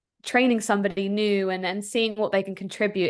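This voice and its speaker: The woman has a medium pitch and fairly even intonation. She talks at a fairly quick pace against a quiet background. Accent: American. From Philadelphia area, US. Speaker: tech startup founder and CEO. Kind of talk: interview.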